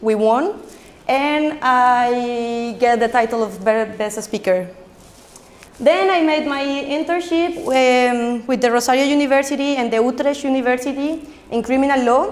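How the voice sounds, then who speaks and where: With a Colombian accent, a woman speaks at a high pitch with ordinary pitch variation, amid audible room echo and noticeable background noise. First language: Spanish. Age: 20s. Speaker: social entrepreneur. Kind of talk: conference talk. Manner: fast; halting.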